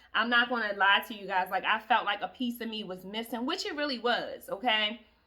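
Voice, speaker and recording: Over noticeable background noise, a woman with a fairly high voice talks at a fairly quick pace, with ordinary pitch variation and big swings in loudness. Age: 30s. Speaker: self-help vlogger. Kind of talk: motivational talk. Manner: casual, conversational.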